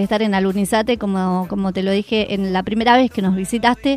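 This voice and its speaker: A woman with a Rioplatense accent at a fairly quick pace. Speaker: radio host. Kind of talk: live radio magazine show. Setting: studio. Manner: animated.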